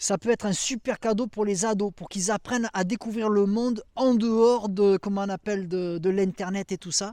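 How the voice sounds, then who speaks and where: A dark, mellow tone at a moderate pace with hardly any pauses, in a dry, close sound with no echo on a very clean recording against a silent background. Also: man, high pitch for a man. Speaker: YouTuber, survivalist gear reviewer. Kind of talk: casual outdoor product review. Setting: outdoors in a forest at dusk. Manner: animated.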